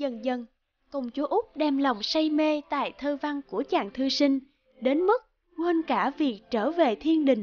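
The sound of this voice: A woman with a high pitch talks at a fairly slow pace, her pitch varying in an ordinary way.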